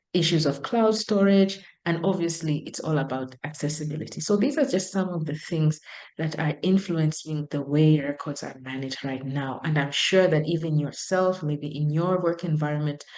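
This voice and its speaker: A woman with a non-native accent speaks in a very deep, low voice. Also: ordinary pitch variation, moderate pace. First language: not English. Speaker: professor. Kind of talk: lecture. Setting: video call.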